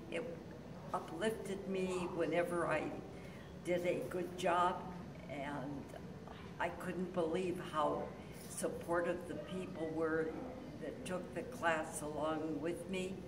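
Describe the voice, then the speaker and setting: Speech comes at a very slow pace, broken by long, frequent pauses. Noticeable background noise runs underneath. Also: woman. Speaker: senior acting student. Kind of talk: testimony. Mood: warm and enthusiastic. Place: hall. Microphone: phone near.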